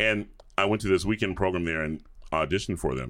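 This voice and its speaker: In a Southern US accent, a man talks at a very fast pace with ordinary pitch variation. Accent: Southern US (Georgia). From US South, suburbs of Atlanta, Georgia. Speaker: opera singer (bass). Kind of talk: casual interview chat.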